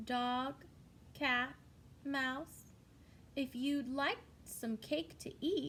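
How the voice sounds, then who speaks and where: A woman's put-on character voice, high-pitched and very slow, with long, frequent pauses over clear background noise. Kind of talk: bedtime story. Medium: read story. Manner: polite, old-fashioned phrasing.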